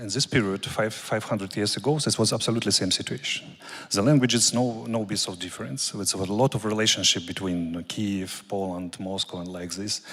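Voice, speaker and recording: This man talks at a fairly quick pace with a fairly low pitch, ordinary pitch variation and a Russian accent. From Ukraine. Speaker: military officer. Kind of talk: conference talk. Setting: conference with audience. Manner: halting.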